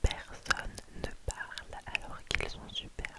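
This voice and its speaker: A woman whispering. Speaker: ASMR creator reading book recommendations. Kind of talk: whispered book review / reading. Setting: ASMR with tapping sounds, headphones. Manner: close whisper, soft-spoken.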